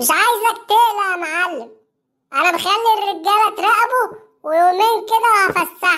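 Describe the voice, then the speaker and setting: In a cartoonish character voice, a woman speaks with an extremely high pitch at a fairly slow pace. Her loudness stays very even. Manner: exasperated.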